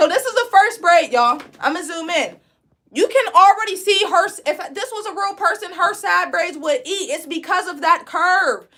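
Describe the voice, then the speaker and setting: Raised and projected, a woman's extremely high-pitched voice has a bright, sharp, animated tone, lively intonation and big swings in loudness at a moderate pace. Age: 20s. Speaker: braiding instructor and licensed cosmetologist. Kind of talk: live online tutorial.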